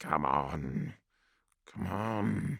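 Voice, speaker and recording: A man puts on a character voice that is very deep and raspy, with very wide pitch swings. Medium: read story. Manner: curt, commanding.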